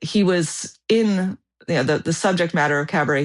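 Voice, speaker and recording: A woman is speaking. The background is quiet. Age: 40s. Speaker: world traveler and photographer. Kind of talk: podcast interview. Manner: halting with fillers and repeats.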